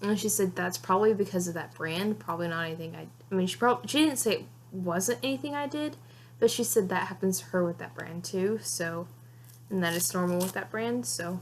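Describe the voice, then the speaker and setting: A somewhat breathy woman's voice, fairly low in pitch, with very wide pitch swings. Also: fairly quick pace. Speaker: vlogger. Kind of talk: casual vlog talk. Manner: halting, self-correcting; fast, rambling speech.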